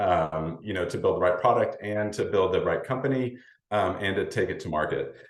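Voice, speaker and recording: A man at a fairly quick pace, with audible room echo. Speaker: startup investor presenter. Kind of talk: presentation. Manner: fast.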